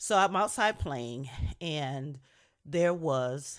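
A woman's animated tone with vocal fry and very wide pitch swings, in a very clean recording with a silent background. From Niagara Falls, New York. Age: 50s. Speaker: podcast host. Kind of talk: personal storytelling, conversational anecdote. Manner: animated, laughing as she tells it.

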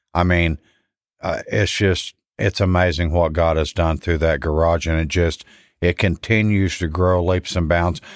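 The recording is very clean, with a silent background. A man speaks in a very deep, low pitch with monotone, flat intonation and very even loudness. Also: fairly slow pace, dry, close sound with no echo. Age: 50s. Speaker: church car ministry leader. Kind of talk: testimony.

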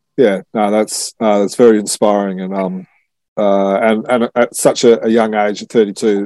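A man with an Australian accent, fairly low in pitch and dark, mellow in tone, at a moderate pace, in a dry, close sound with no echo. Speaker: podcast host. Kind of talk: casual chat.

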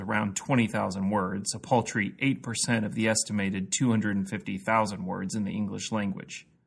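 This man speaks with a Midwestern American accent. His pitch is fairly low and his intonation fairly even. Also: quiet background. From US Midwest, Missouri (Jefferson City). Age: 30s. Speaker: pastor and podcast host. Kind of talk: scripted narration.

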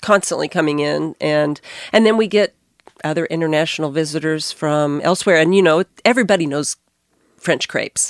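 With an American accent, a woman speaks in an ordinary speaking voice, fairly low in pitch with ordinary variation, at a moderate pace, in a dry, close sound with no echo. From Arkansas, US. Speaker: restaurant co-founder. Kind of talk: casual interview. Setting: studio.

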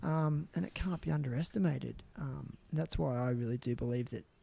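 With an Australian accent, a man speaks in a somewhat breathy voice with a dark, mellow tone. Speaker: podcast host. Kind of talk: casual interview chat.

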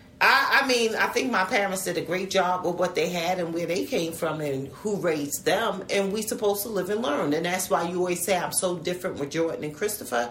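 A woman with an American accent at a medium pitch and fairly quick pace, over noticeable background noise. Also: ordinary pitch variation. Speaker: mother. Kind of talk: casual family conversation.

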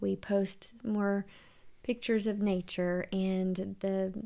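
In a very clean recording with a silent background, a woman speaks with a Southern US accent. Her medium-pitched delivery is monotone and flat. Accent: Southern American. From US South, Louisiana (Shreveport). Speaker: podcast co-host and tour guide. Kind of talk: casual chat.

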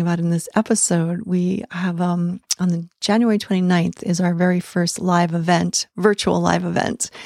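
In a normal speaking voice at a medium pitch, a woman is heard on a very clean recording with a silent background and a dry, close sound with no echo. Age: 60s. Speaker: tantra coach and podcast host. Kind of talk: solo podcast monologue.

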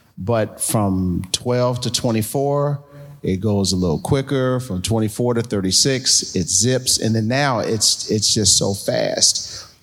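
Music plays behind a man talking at a very slow pace. His pitch is medium, with ordinary variation. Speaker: pastor. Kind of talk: live panel conversation. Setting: stage with audience.

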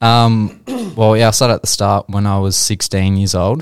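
A man with an Australian accent, fairly quick pace and fairly even intonation, in a very clean recording with a silent background. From Australia, Geelong. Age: 20s. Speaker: real estate agent. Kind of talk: casual interview.

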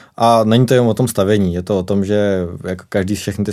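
A man's fairly low-pitched voice, dark and mellow in tone. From South Bohemia, České Budějovice. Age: 20s. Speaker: chimney sweep. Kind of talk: casual interview.

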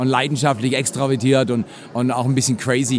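With noticeable background noise behind him, a man speaks in an animated tone. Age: 60s. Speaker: pastor. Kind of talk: interview conversation. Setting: conference venue.

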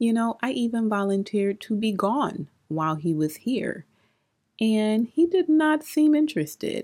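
At a fairly slow pace, a dark, mellow voice comes through a very clean recording with a silent background. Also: woman. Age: 30s. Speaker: podcast host. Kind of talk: solo podcast monologue.

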